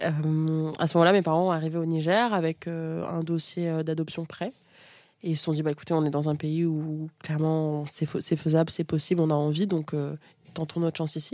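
A woman with a very deep, low pitch and a dark, mellow tone speaks at a moderate pace in a monotone, flat intonation, captured in a very clean recording with a silent background. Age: 20s. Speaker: sex education content creator. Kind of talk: casual interview.

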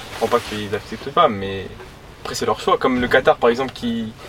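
Fairly quick speech from a man at medium pitch, over noticeable background noise. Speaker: passerby interviewee. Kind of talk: casual chat.

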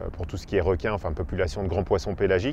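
The man speaks with a very deep, low pitch. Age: 40s. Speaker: freediver and ocean photographer. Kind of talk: interview. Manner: hesitant, many fillers.

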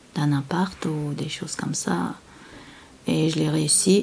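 A woman with a very deep, low pitch talks very slowly over noticeable background noise. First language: not French (speaking French). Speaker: interviewee, working mother. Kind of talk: interview testimony. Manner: halting.

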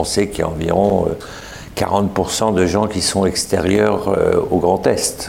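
Very slow speech with long, frequent pauses and monotone, flat intonation comes through noticeable background noise and audible room echo. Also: man, fairly low pitch for a man, very even loudness. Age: 60s. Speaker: event founder. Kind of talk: interview. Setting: stage with audience.

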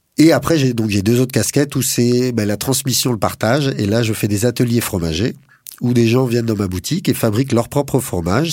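This man has an unremarkable speaking voice with a medium pitch. He talks at a fairly quick pace. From Paris suburbs, France. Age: 40s. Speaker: cheesemaker, former railway engineer. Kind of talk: interview. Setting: studio.

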